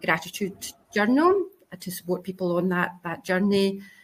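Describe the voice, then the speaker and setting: A woman speaks in a Scottish accent at a medium pitch. Her pace is moderate. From Scotland. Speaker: career coach. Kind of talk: panel discussion.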